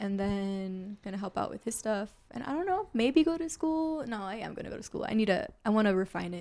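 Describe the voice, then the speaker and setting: Soft-spoken yet with big swings in loudness, a woman with an American accent talks fairly quickly at a fairly high pitch, using lively intonation and hardly any pauses. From Chicago. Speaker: actor. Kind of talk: casual chat.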